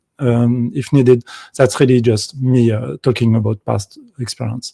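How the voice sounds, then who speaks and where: A man with a medium-pitched voice and a dark, mellow tone, recorded dry and close with no echo. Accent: French. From France. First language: French. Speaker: game developer. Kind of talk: conference talk. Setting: video call from home. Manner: halting.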